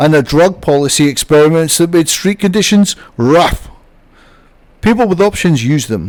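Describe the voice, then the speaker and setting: A man speaks with a British accent and lively intonation. His pace is moderate. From UK. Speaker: YouTuber. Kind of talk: documentary narration.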